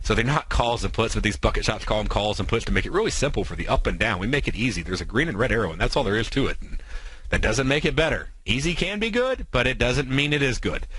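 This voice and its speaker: Audible room echo surrounds the voice. A man talks at a very fast pace. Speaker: radio trading show host. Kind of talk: trading tutorial on radio.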